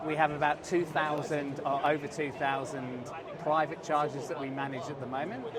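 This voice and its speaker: A man's fairly high voice in a flat monotone, with noticeable background noise and audible room echo. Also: moderate pace. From England. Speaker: company CEO. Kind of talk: interview. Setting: trade show floor. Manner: halting, many restarts.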